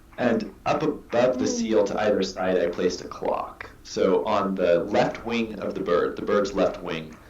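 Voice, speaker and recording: Someone with an American accent speaks at a fairly slow pace, with hardly any pauses. Noticeable background noise is present. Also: man. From US Pacific Northwest. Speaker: artist. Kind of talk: interview answer.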